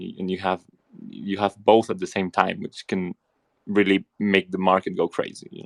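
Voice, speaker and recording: A man with a Spanish accent talks at a moderate pace. His loudness swings widely, and the sound is dry and close with no echo. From Spain, Barcelona. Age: 20s. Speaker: crypto investor. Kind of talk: casual chat. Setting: audio chat room. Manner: halting.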